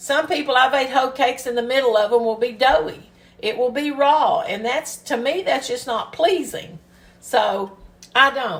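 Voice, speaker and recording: A woman with a high pitch talks at a moderate pace, and her intonation is lively. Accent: Kentucky. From US South, Kentucky. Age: 60s. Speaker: home cooking video host. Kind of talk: cooking tutorial. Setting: home kitchen. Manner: casual, chatty.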